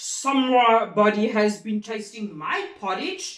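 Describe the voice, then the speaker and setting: This is a put-on character voice at a fairly high pitch. It is delivered at a fairly slow pace. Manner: gruff, indignant.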